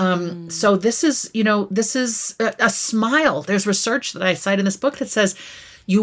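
A woman's unremarkable speaking voice at medium pitch, with ordinary pitch variation. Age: 50s. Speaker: author and former university dean. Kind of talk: interview.

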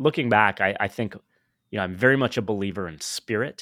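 The recording is very clean with a silent background and a dry, close sound with no echo, carrying a man with an American accent, fairly low pitch, lively intonation and an unremarkable speaking voice. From US West Coast. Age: 50s. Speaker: podcaster and tech entrepreneur. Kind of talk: personal story interview.

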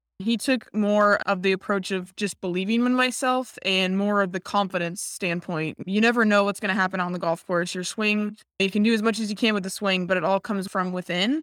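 In a very clean recording with a silent background, a woman with an American accent speaks in a plain, everyday voice at medium pitch and a fairly quick pace, with fairly even intonation and hardly any pauses. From Nevada, US. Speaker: professional golfer. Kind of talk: casual interview.

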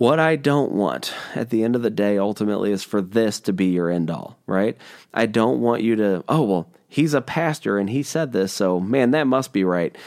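With an ordinary speaking voice, a man talks at a moderate pace and a fairly low pitch with lively intonation on a very clean recording with a silent background. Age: 30s. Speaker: pastor. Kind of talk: solo podcast teaching. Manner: casual with frequent fillers.

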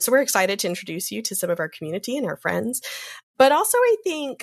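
A woman talks at a very fast pace. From US South. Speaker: Episcopal priest and podcast co-host. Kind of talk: casual chat.

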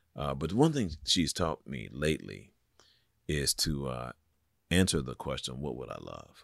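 Very deep and low, a man's voice carries vocal fry and ordinary pitch variation, moving at a fairly slow pace with big swings in loudness. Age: 60s. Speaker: pastor. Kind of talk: casual chat. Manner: halting.

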